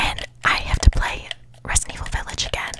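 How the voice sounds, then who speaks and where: A soft-spoken woman is whispering at a moderate pace. Noticeable background noise runs underneath. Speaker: ASMR creator. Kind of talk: soft casual ASMR chat. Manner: soft close-mic ASMR whisper. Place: home room. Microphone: studio mic.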